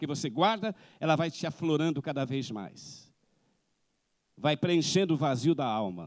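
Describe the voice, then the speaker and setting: The speaker has a Brazilian accent and very wide pitch swings. The recording is very clean, with a silent background. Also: man. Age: 60s. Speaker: missionary preacher. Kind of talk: sermon.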